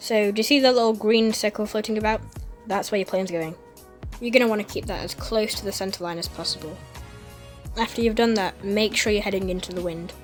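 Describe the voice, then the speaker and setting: A woman talks at a fairly quick pace with fairly even intonation while music plays in the background. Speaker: flight simulator video creator. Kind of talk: tutorial voice-over. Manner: casual, friendly.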